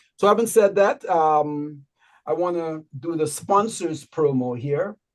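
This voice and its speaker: Here is a man with a Guyanese accent and a high-pitched voice. His intonation is lively. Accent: Guyanese Berbice. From Guyana, Berbice. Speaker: online show host. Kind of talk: show announcements.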